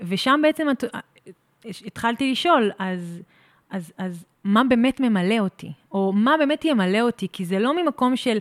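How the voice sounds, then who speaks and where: A woman at fairly high pitch with lively intonation and a moderate pace, on a very clean recording with a silent background and a dry, close sound with no echo. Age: 30s. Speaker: pilates studio owner. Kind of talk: casual interview chat. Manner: halting, repeats words.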